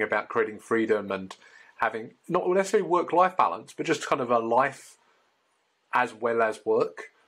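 A man speaks at a fairly quick pace. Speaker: podcast host. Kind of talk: interview. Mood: warm, enthusiastic. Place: home room. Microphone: video call.

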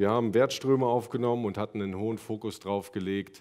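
The voice has a dark, mellow tone and monotone, flat intonation, with a quiet background. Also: man. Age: 30s. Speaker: production and logistics manager; conference speaker. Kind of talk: conference talk. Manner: halting. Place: hall. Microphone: headset.

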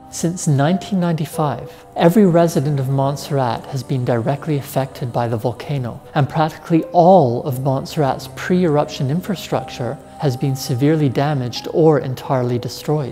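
Faint music plays in the background as a man talks at a moderate pace. He has ordinary pitch variation and hardly any pauses. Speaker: professor presenting science series. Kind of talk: educational explainer. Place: studio. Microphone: lapel.

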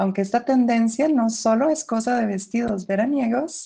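A woman talks at a fairly slow pace. Her tone is dark and mellow, and somewhat breathy. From Costa Rica. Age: 20s. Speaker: voice feminization patient and singer. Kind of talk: reading aloud; testimony.

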